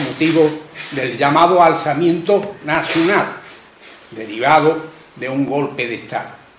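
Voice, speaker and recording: A man at a fairly slow pace with ordinary pitch variation, audible room echo and noticeable background noise. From Carmona, Andalusia. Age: 80s+. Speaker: audience member, civil war witness. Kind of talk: public testimony.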